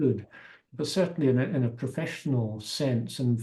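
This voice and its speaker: Somewhat breathy, a man's voice sits at a medium pitch. The tone is dark and mellow. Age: 70s. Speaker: masters triathlete. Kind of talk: interview answer.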